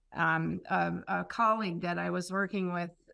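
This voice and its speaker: On a very clean recording with a silent background, a woman speaks in an Upper Peninsula Michigan accent. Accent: Upper Midwest American (Yooper). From Upper Peninsula of Michigan (Marquette). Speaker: foreign service officer. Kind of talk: interview.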